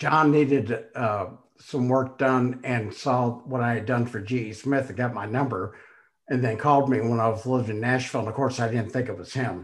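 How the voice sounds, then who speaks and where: An unremarkable speaking voice with fairly even intonation at a moderate pace. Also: man, medium pitch for a man. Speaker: podcast host. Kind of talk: casual interview chat.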